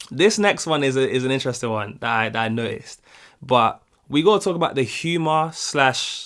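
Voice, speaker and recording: A man with a British accent talks at a moderate pace. The recording is very clean, with a silent background. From United Kingdom. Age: young. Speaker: YouTube reaction creator. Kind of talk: casual talk to camera.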